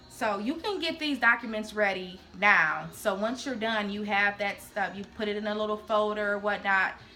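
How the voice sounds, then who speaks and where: A woman speaks with music playing behind her. Her intonation stays fairly even. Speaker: nursing student vlogger. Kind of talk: informational vlog.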